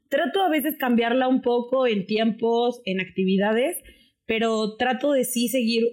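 The speaker is a woman with a fairly high voice. She takes her words at a fairly slow pace. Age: 20s. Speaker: influencer and political science graduate. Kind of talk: casual chat.

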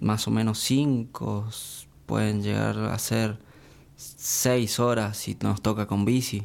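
The speech moves at a very slow pace. Intonation stays fairly even. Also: man. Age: 20s. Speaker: elite triathlete. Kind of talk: casual interview.

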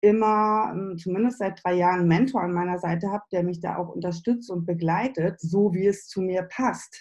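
A woman speaks at a moderate pace in a medium pitch, with ordinary pitch variation, hardly any pauses, and a plain, everyday voice. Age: 40s. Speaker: business and spiritual coach. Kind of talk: interview.

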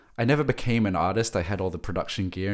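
This man talks very fast. He has an Australian accent. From Australia (Sydney). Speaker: creative director and music manager. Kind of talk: casual interview chat.

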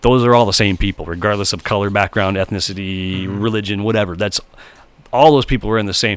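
Fairly quick and fairly even in intonation, a man with a plain, everyday voice speaks at a fairly low pitch. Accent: American. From Michigan. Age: 50s. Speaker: bass player. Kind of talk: casual chat.

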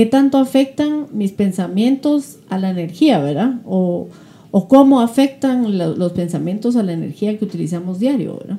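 A woman with a medium pitch and a dark, mellow tone sounds somewhat breathy as her pitch swings very widely. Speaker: web show host. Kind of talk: interview. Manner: fast.

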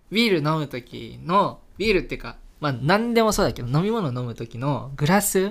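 A man with a fairly high pitch talks at a moderate pace with hardly any pauses. His voice shows very wide pitch swings and big swings in loudness. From Hokkaido, Japan. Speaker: podcast host. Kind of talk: casual chat while drinking beer.

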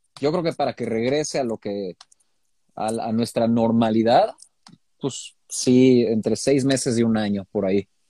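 In a dry, close sound with no echo, a man with a Mexican accent speaks fairly slowly at a medium pitch with a dark, mellow tone. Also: ordinary pitch variation. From Mexico. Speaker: DJ and music producer. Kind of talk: casual interview.

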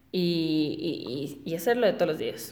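In a room with audible echo, a woman with a fairly low voice speaks with lively intonation. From Ecuador (Guayaquil). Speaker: podcaster. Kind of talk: casual monologue. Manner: halting, with frequent repetitions.

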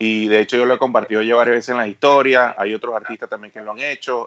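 Here a man talks at a medium pitch. The sound is dry and close, without any echo. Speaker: radio host, comedian. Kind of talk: casual chat.

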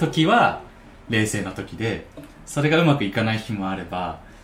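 Amid audible room echo, a man with a fairly low pitch speaks at a moderate pace with lively intonation. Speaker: musician. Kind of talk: casual chat.

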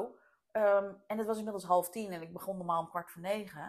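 A woman at a medium pitch, with fairly even intonation and a fairly quick pace. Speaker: business coach and podcast host. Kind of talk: interview. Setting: at home.

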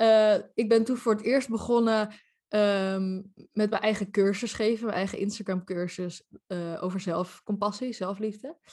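In a quiet background, a woman with a plain, everyday voice speaks at a fairly slow pace, medium in pitch and with fairly even intonation. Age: 30s. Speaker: life coach. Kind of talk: casual interview.

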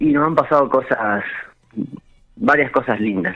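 The man speaks at a fairly slow pace. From Argentina, La Pampa (General Pico). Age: 30s. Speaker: restaurant owner. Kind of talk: radio interview.

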